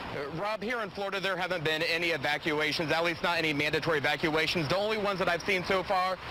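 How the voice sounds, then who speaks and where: Talking at a very fast pace amid noticeable background noise, a man with an American accent has a high voice and fairly even intonation. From Ohio. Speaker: news reporter. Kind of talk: news reporting. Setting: live on location.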